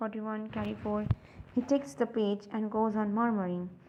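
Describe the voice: Plain reading aloud with fairly even intonation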